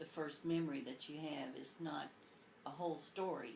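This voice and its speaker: In an American accent, a woman with a very deep, low pitch and ordinary pitch variation speaks at a moderate pace amid audible room echo and noticeable background noise. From Kentucky, rural. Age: 60s. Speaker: grandmother being interviewed. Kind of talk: oral history interview, storytelling.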